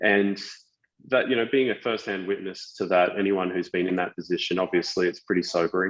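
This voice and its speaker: A man talks at a very fast pace in a very deep, low pitch. The sound is dry and close, with no echo. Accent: Australian. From Australia. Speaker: tech company founder, former civil engineer. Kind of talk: podcast interview. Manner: halting, many fillers and repetitions.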